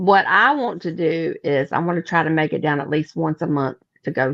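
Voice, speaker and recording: Very deep and low for a woman, her voice moves at a fairly quick pace with a dry, close sound and no echo. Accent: Mississippi. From Mississippi. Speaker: paranormal investigator. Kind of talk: casual chat.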